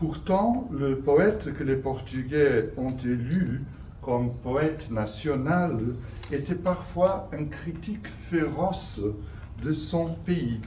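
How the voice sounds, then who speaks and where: A man talks at a very slow pace in a fairly high voice. His intonation is lively, and audible room echo is present. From Portugal. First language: Portuguese (speaking French). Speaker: professor. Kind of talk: lecture. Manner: halting.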